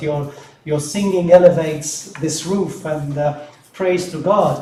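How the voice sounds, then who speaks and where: Amid noticeable background noise and audible room echo, a man with a Maltese accent and a fairly high pitch speaks at a fairly slow pace with fairly even intonation. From Malta. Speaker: deacon. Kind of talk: welcome speech at mass. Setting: church. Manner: halting, many fillers.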